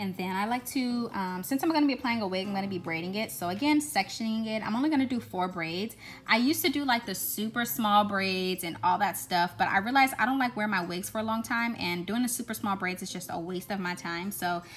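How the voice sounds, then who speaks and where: A woman talks at a very fast pace with hardly any pauses. Her voice is somewhat breathy, and there is light background noise. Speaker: hair vlogger. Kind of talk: tutorial voice-over.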